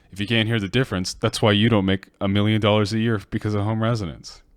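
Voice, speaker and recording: With music in the background, a man talks in a fairly low voice. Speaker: music producer streamer. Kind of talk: casual livestream tutorial. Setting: livestream. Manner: soft-spoken.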